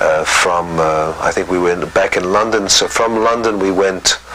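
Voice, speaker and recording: The speaker's intonation is fairly even, and noticeable background noise runs underneath. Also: man. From Egypt, then boarding schools in England. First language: French. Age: 60s. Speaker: interviewee telling life story. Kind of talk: interview testimony. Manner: hesitant, many fillers.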